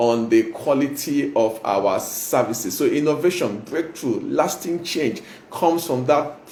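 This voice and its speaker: A man with a fairly high pitch talks over noticeable background noise. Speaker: motivational speaker and pastor. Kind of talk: motivational talk. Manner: fast.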